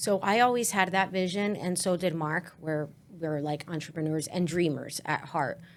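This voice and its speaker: In a very clean recording with a silent background, a woman with a fairly low pitch speaks at a moderate pace with a Spanish accent. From New Jersey, Newark area. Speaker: business owner. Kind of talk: podcast interview.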